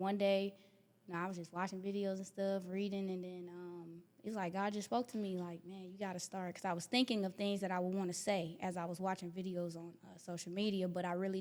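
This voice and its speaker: With an American accent, a woman at medium pitch talks at a very fast pace in a monotone, flat intonation. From US Midwest (Wisconsin, Minnesota). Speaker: motivational speaker. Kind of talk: interview. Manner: casual.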